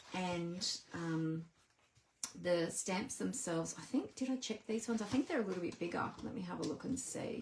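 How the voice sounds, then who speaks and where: A woman's voice with noticeable background noise. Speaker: papercraft demonstrator. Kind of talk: casual live stream talk to camera.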